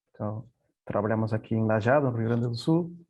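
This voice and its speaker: A man with a Spanish accent speaks at a medium pitch and a moderate pace. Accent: Spanish (Castilian) accent in Portuguese. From Peru. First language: Spanish (speaking Portuguese). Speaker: software company executive. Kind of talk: panel presentation. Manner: halting, many repetitions.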